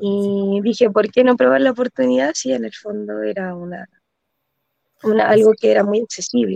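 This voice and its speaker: In a dry, close sound with no echo, a woman with a dark, mellow tone and medium pitch speaks at a moderate pace, with very wide pitch swings and big swings in loudness. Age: 20s. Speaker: midwife, first-time property investor. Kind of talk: interview testimony.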